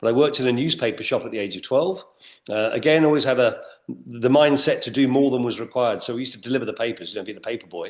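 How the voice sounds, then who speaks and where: Very fast speech with an English accent. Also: man. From England. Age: 60s. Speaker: retail executive. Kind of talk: interview.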